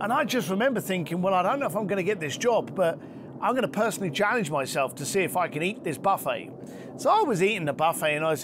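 Over noticeable background noise, a man speaks at a very fast pace with lively intonation. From East London, England. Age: 50s. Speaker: luxury concierge entrepreneur and author. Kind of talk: interview conversation. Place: garden.

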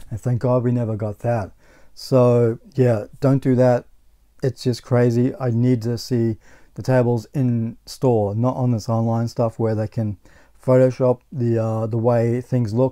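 A man with an Australian accent talks at a fairly slow pace and medium pitch in a dark, mellow tone. His intonation is monotone and flat over a quiet background. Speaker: gaming YouTuber; gaming channel host. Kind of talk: casual vlog monologue. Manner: halting, with frequent repetitions. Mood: annoyed about bad purchase. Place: home room.

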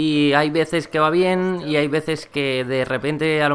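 A man speaks here, fairly high in pitch. The intonation stays monotone and flat. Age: 20s. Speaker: gaming YouTuber. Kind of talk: gameplay commentary vlog. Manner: halting, frequent repetitions.

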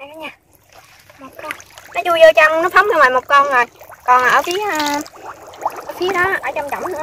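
A woman talks at a fairly quick pace in a high pitch and a bright, sharp tone. Her speech has long, frequent pauses. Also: ordinary pitch variation.

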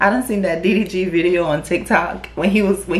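Music plays in the background as a woman speaks at a moderate speed. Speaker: YouTube reaction creator. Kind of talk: casual reaction commentary. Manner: animated. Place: home room.

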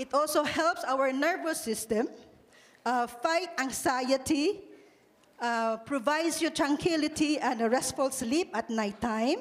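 A woman speaks in a Visayan Filipino accent at a high pitch. Her pace is fairly slow and her loudness very even. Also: ordinary pitch variation. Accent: Filipino (Cebuano) English. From Philippines. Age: 60s. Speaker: product distributor; speaker. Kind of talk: testimony. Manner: halting. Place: hall. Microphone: handheld.

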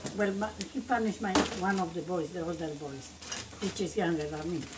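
A woman is speaking. Loud background noise surrounds her. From Bolivia. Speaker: home cook grandmother. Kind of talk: casual cooking talk and storytelling. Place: kitchen. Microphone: phone near.

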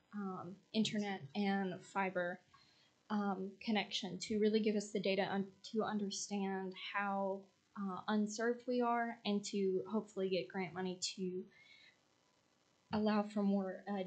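At a medium pitch, a woman speaks fairly slowly in a monotone, flat intonation. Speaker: graduate student intern presenting to council. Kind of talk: formal presentation. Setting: city council meeting. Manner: loud.

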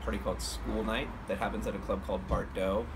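The delivery moves at a fairly quick pace, with noticeable background noise underneath. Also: man. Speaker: musician vlogger. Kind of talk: casual vlog chat. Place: garden. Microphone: phone near.

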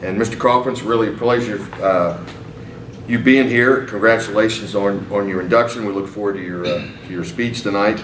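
A man at a fairly quick pace with fairly even intonation, audible room echo and light background noise. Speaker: interviewer. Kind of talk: interview. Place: meeting room.

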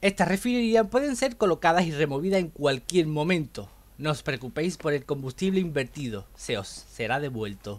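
A man's fairly high voice with very wide pitch swings. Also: moderate pace, hardly any pauses. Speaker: gaming youtuber. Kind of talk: scripted narration.

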